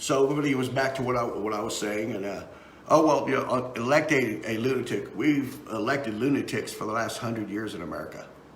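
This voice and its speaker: With a Texan accent, a man at medium pitch talks at a very fast pace with ordinary pitch variation, amid audible room echo and noticeable background noise. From Texas. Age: 50s. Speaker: political talk show host and musician. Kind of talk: casual live-stream commentary. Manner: halting, many fillers and repeats.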